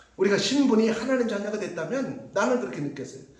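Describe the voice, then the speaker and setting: Over noticeable background noise and audible room echo, a man talks at a fairly quick pace in an animated tone. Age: 50s. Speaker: pastor. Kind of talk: sermon.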